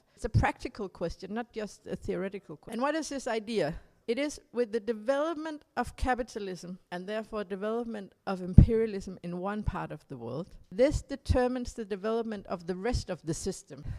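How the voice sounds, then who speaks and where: A woman with a Danish accent talks at a fairly quick pace with hardly any pauses, her dark, mellow voice fairly high in pitch. Her intonation is lively, and her loudness swings widely. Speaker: political activist speaker. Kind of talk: conference talk summing up discussion. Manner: halting, with repetitions and self-corrections.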